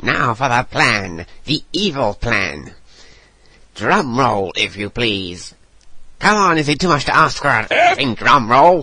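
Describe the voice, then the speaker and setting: A put-on character voice from a man, fairly slow and medium in pitch. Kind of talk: voice demo reel.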